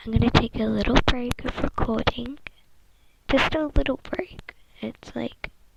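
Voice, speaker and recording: With big swings in loudness, a woman speaks at a fairly slow pace against noticeable background noise. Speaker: ASMR creator. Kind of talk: ASMR casual talk. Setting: bedroom. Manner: soft-spoken; hesitant.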